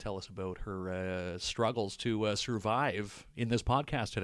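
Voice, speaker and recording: A booming voice with fairly even intonation comes through in a very clean recording with a silent background. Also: man. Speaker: podcast co-host.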